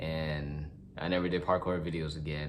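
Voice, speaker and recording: A man's voice with audible room echo. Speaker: vlogger. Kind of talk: casual monologue. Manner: fast.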